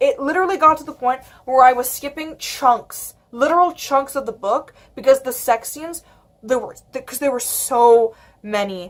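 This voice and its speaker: Her tone animated, a woman talks at a moderate pace in a high pitch. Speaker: book vlogger. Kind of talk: casual vlog chat. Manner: halting, repeats words.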